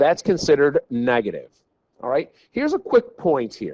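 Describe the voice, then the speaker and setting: A man speaks with a dry, close sound and no echo. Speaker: math teacher. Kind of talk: tutorial. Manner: animated.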